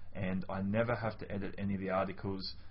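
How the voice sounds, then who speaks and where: Fairly low, somewhat breathy male voice at a fairly quick pace, with monotone, flat intonation. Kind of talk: testimonial, casual direct address. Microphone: webcam.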